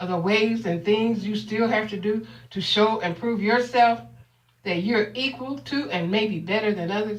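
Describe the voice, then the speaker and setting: This woman has an ordinary speaking voice with fairly high pitch. She talks at a fairly slow pace. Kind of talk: spoken word poetry performance.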